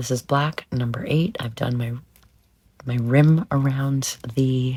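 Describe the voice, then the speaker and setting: A woman speaks very slowly in a very deep, low pitch, sounding somewhat breathy. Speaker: nail art creator. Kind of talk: tutorial. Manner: halting.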